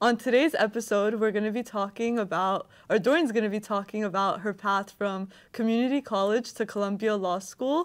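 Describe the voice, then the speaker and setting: In a plain, everyday voice, a woman talks at a fairly quick pace with hardly any pauses. Her pitch is fairly high with ordinary variation, on a very clean recording with a silent background. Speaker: podcast interviewer. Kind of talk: interview host talk.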